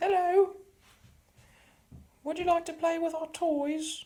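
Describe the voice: This put-on character voice, squeaky and extremely high, carries a British accent and moves at a fairly slow pace with monotone, flat intonation.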